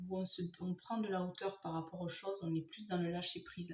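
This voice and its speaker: Soft-spoken and somewhat breathy, a woman talks at a moderate pace with a medium-pitched voice. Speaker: tarot card reader. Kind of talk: tarot reading for viewers.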